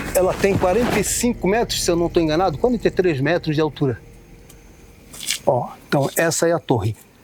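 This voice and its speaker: Amid noticeable background noise, a high-pitched man speaks fairly quickly with lively intonation and very even loudness, broken by long, frequent pauses. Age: 60s. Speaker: travel vlogger. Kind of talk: casual vlog narration. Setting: outdoors, climbing observation tower. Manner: animated.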